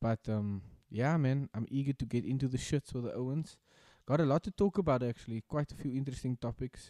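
A man speaks at a fairly quick pace with ordinary pitch variation and a dark, mellow tone, his voice dry with no echo over a quiet background. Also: medium pitch for a man. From South Africa. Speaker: podcast co-host. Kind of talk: casual chat. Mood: reflective, grateful. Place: home room. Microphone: studio mic.

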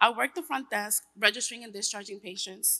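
Her tone is bright and sharp, with a fairly high pitch. The woman speaks at a moderate pace. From New York. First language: Spanish. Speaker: tech worker and single mother. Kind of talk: personal testimony speech. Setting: stage with audience. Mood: earnest, reflective. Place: hall. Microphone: podium.

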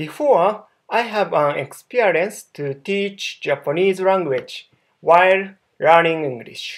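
Against a quiet background, a man with a high voice speaks with lively intonation. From Japan, Kobe; Japan. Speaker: online language tutor. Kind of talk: self-introduction video. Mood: friendly, smiling. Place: home room. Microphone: webcam.

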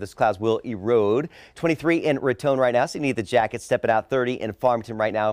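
A man's very fast, lively-intoned speech, dry with no echo, over a quiet background. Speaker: TV meteorologist. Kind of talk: local TV weather forecast, talking over maps. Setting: TV studio. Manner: brisk, upbeat conversational delivery; casual with occasional 'uh' fillers. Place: studio. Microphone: lapel.

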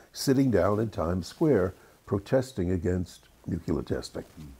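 A man with a fairly low pitch and a dark, mellow tone speaks at a moderate pace in a somewhat breathy voice. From England, raised in the USA. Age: 80s+. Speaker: screenwriter. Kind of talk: interview answer.

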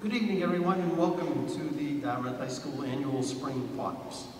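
Speech comes at a fairly quick pace with ordinary pitch variation, light background noise and audible room echo. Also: man. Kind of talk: formal announcement. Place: hall.

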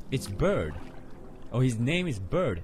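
A man talks rather slowly while music plays clearly behind him. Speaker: gamer. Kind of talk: commentary. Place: home room.

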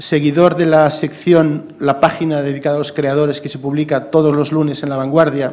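A man's fairly high-pitched, monotone, flat delivery with hardly any pauses. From Galicia, Spain (A Coruña); Galicia, Spain. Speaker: cultural journalist. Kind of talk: talk at a seminar. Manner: fast. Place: hall. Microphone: podium.

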